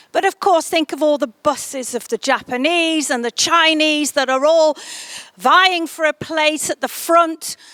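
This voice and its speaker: A woman with an English accent talks at a fairly slow pace in a high, bright, sharp tone with ordinary pitch variation. The recording is dry and close, without echo. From England, Stoke-on-Trent. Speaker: tourism promoter. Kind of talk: interview monologue. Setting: greenhouse. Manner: hesitant, with fillers and restarts.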